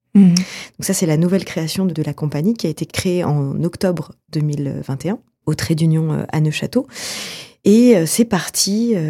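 A woman's somewhat breathy, dark, mellow voice sits at a fairly low pitch, moving fairly slowly with ordinary pitch variation. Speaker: theatre director and actress. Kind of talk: radio interview. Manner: halting, many fillers.

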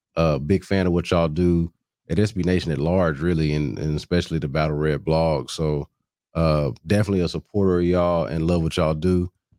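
Very deep and low in pitch, a man talks at a fairly quick pace with fairly even intonation, a dark, mellow tone and very even loudness, on a very clean recording with a silent background and a dry, close sound with no echo. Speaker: sports radio personality. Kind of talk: casual sports discussion. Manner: long-winded.

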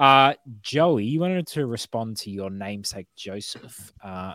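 Speaking with an Australian accent, a man with a fairly low pitch and lively intonation goes at a fairly slow pace in a dry, close, echo-free, very clean recording with a silent background. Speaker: football podcast host. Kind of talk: casual chat.

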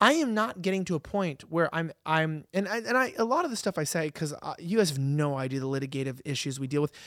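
On a very clean recording with a silent background, a man with a Californian accent speaks very fast with hardly any pauses, lively intonation and a fairly high pitch. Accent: Californian American. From Los Angeles. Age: 20s. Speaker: political commentary host. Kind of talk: casual chat.

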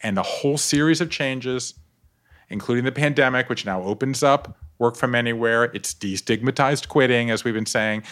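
A man with an American accent talks at a fairly quick pace in an ordinary speaking voice, his pitch medium with ordinary variation. The recording is very clean, with a silent background. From US South, coastal Georgia (Savannah). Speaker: author. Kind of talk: interview conversation.

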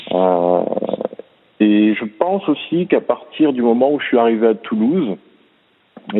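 This man's voice sits at a medium pitch while he talks fairly slowly. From southern France, Montpellier. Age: 30s. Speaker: swimming coach. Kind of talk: interview.

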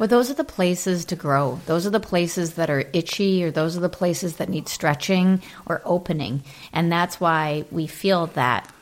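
An unremarkable speaking voice belongs to a woman with a fairly low pitch. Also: ordinary pitch variation, moderate pace. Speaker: interviewer, former chiropractor and friend. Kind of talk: casual interview chat.

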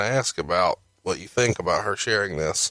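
Heard in a very clean recording with a silent background, a man has a fairly low pitch and a bright, sharp tone. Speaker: podcast host. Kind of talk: casual chat.

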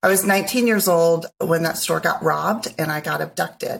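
Vocal fry runs through a woman's fairly low voice. Her intonation is fairly even. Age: 50s. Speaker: guest, first-time real estate investor. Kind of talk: casual interview.

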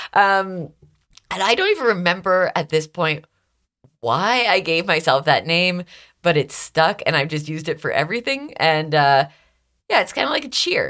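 On a very clean recording with a silent background, a woman with a Canadian accent talks at a moderate pace with long, frequent pauses, her fairly low voice bright, sharp and animated, with lively intonation. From Canada (Toronto area, Stouffville). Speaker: radio host. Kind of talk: casual interview chat. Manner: animated, laughs often.

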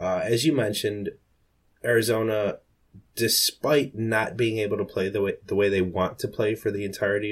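The voice belongs to a man, a normal speaking voice at a fairly low pitch with fairly even intonation. He talks at a fairly quick pace in a very clean recording with a silent background. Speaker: fantasy football analyst. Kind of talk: casual chat.

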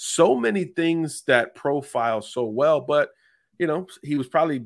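Ordinary pitch variation and a moderate pace mark a man's ordinary speaking voice on a very clean recording with a silent background. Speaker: college football analyst. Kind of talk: analytical sports talk, scouting breakdown.

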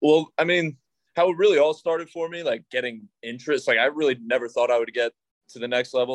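An unremarkable speaking voice from a man with an American accent, at a fairly quick pace with ordinary pitch variation. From New York. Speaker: professional baseball pitcher. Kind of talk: casual chat.

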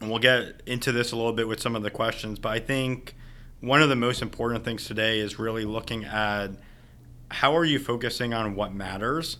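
A man talks at a medium pitch with a bright, sharp tone. His intonation stays fairly even. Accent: American. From New York City, Staten Island. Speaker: marketing manager. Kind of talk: podcast interview.

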